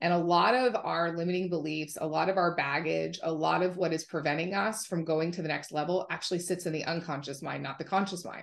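A woman with a fairly low pitch speaks at a fairly quick pace. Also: quiet background. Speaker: podcast guest. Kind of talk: interview answer. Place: home room. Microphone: video call.

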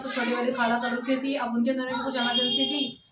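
Fairly high-pitched woman's voice with a fairly bright tone, little pitch movement, a fairly quick pace and audible room echo

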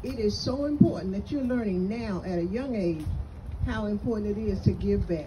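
With an American accent, a woman talks over noticeable background noise. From North Carolina (Kannapolis); North Carolina. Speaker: retired school principal; guest. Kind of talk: speech to an audience. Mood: grateful, heartfelt. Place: open country.

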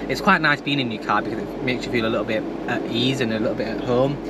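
A man speaks at a very fast pace, the sound dry with no echo and loud background noise behind it. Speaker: car vlogger. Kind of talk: casual vlog chat. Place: car. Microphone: camera far.

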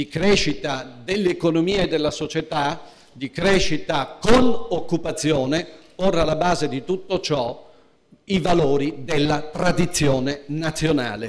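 A man at a fairly slow pace, with ordinary pitch variation. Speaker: politician at a party conference. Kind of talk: political speech. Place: hall. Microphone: podium.

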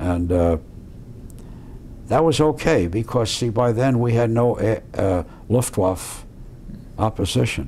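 A man speaks at a very slow pace with long, frequent pauses over light background noise. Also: lively intonation. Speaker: war veteran. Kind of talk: interview answer. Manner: articulate, colorful storyteller. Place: home room.

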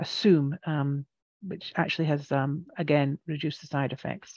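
A woman with a Scottish accent talks fairly quickly against a quiet background, the sound dry with no echo. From Scotland. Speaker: radiation therapist. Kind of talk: educational presentation to a support group. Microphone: headset.

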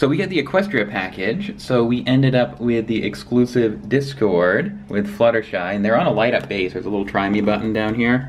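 A fairly quick pace over music in the background. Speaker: toy vlogger. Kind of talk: casual vlog chat. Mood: excited, cheerful. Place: hall. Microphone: phone near.

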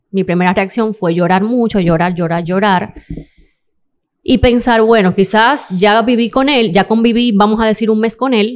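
A woman at a moderate pace, fairly high in pitch with ordinary pitch variation and very even loudness, against a quiet background. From Dominican Republic. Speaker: model and interior designer; podcast guest. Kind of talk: testimony. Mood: serious, emotional personal story. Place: studio. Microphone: studio mic.

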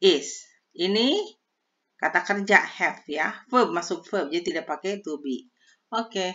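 A woman at medium pitch, lively intonation, moderate pace, and long, frequent pauses. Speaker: English teacher on video channel. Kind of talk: tutorial.

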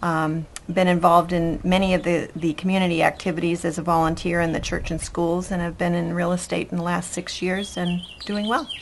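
A woman talks at a fairly quick pace in a fairly low pitch with monotone, flat intonation. Noticeable background noise runs behind her. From Boston, US Northeast. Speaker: real estate agent. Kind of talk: interview.

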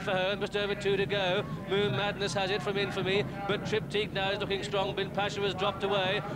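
Over noticeable background noise, a man with a British accent talks very fast in a high pitch with monotone, flat intonation. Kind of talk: live horse race commentary. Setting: racecourse commentary box, broadcast. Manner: British, precise and clipped, with chatty asides mid-race.

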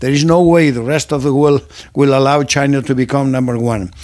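Speaking with a non-native accent, a man uses fairly even intonation and fairly high pitch at a moderate pace against a quiet background. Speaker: political commentator. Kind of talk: lecture. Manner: formal. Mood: earnest, persuasive. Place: home room. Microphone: studio mic.

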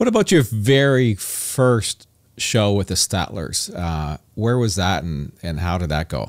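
On a very clean recording with a silent background, a man with a Canadian accent has an unremarkable speaking voice, fairly low in pitch, with lively intonation at a fairly slow pace. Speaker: podcast host and musician. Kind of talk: casual interview chat.

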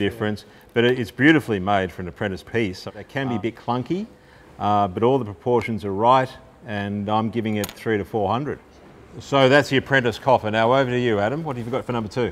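This man talks at a very fast pace, his medium pitch moving with ordinary variation. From Australia. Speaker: auctioneer and podcast host. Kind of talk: casual conversational podcast banter about auction items. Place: hall.

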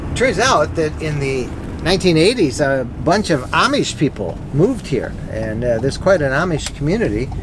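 Lively in intonation, a man speaks at a fairly slow pace in a dry recording with no echo, though background noise is noticeable. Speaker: travel vlogger. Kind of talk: casual vlog chat. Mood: cheerful, curious. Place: car.

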